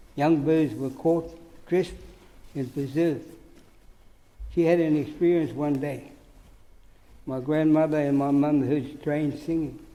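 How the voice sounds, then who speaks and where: Amid audible room echo, a man talks fairly slowly at a fairly high pitch in a monotone, flat delivery, leaving long, frequent pauses. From New Zealand, Hawke's Bay (Māori community). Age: 80s+. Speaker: Māori elder giving evidence. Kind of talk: testimony at public hearing.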